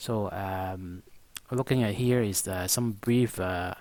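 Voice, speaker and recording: A man speaks at a fairly low pitch. His intonation stays fairly even. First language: not English. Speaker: stock market analyst. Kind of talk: market analysis monologue. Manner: halting, many fillers.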